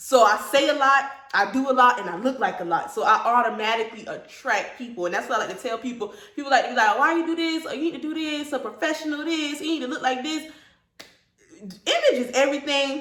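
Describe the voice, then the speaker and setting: Loud, very fast speech carries lively intonation. Audible room echo surrounds it. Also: woman, high pitch for a woman. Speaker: hairstylist and salon owner. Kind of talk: casual interview.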